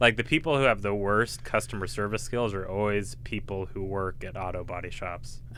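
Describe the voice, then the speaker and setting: With very wide pitch swings, a man at a fairly low pitch speaks at a fairly quick pace with a bright, sharp tone and hardly any pauses. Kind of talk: casual chat. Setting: podcast studio.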